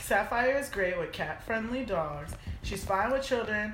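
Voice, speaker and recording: Amid noticeable background noise, a woman speaks at a moderate pace with ordinary pitch variation. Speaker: podcast co-host. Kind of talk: casual chat.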